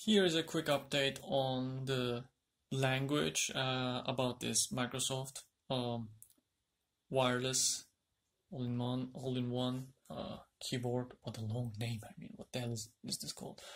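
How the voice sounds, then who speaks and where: A man's fairly slow speech with ordinary pitch variation and big swings in loudness, over a quiet background. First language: Turkish. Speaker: tech YouTuber. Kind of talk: product unboxing tutorial. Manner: halting. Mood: mildly exasperated, joking. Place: home room. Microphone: phone near.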